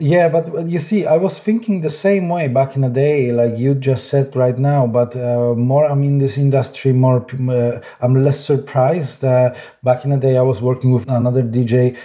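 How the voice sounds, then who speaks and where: A man with a Polish accent speaks at a moderate pace and medium pitch, with ordinary pitch variation. His voice is somewhat breathy with a dark, mellow tone, and his loudness stays very even. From Poland. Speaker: SEO director. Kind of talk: interview.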